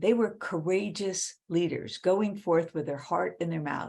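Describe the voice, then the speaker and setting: A woman with an American accent talks at a moderate pace, her fairly low voice carrying vocal fry. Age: 70s. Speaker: author and women's leadership speaker. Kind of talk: interview conversation.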